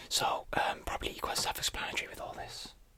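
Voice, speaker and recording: Someone whispers at a moderate pace. Noticeable background noise can be heard. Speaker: ASMR creator. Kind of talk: whispered ASMR unboxing. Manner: whispered.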